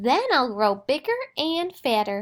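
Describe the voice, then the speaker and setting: A woman's put-on character voice, high in pitch and fairly slow, in a very clean recording with a silent background. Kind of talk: bedtime story. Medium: read story.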